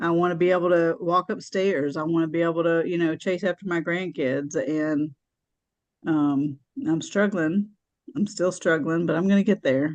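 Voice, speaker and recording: A normal speaking voice at a moderate pace, with very even loudness and ordinary pitch variation. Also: woman, fairly low pitch for a woman. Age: 60s. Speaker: support group member. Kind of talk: testimony.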